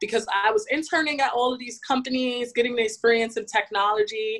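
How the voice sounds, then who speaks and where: A woman with an American accent speaks at a moderate pace in an unremarkable speaking voice. Her pitch is fairly high, with ordinary pitch variation. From US, New York City (Bronx). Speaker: fashion technology professional. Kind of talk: interview. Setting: podcast.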